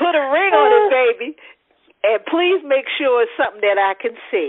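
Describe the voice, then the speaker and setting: A woman speaks in a high pitch with very wide pitch swings, at a moderate pace and very even loudness. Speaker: talk show host. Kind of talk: casual chat.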